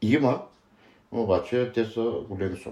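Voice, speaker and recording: This man has a medium-pitched voice with a dark, mellow tone. It comes across somewhat breathy. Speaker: former thief, interviewee. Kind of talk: interview.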